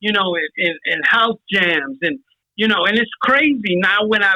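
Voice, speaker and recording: The speaker talks at a moderate pace in a New York accent. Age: 60s. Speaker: hip hop pioneer, old school rapper. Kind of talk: casual chat. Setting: phone call.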